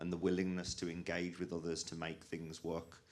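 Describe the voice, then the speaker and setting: Audible room echo surrounds a man with a very deep, low pitch speaking at a fairly quick pace. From English West Midlands. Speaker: rivers charity manager. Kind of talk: conference panel talk.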